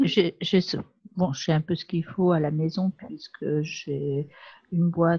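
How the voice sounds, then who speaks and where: Soft-spoken and somewhat breathy, a woman with a fairly low, dark, mellow voice talks at a very slow pace with ordinary pitch variation. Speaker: pastel class participant. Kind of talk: casual chat.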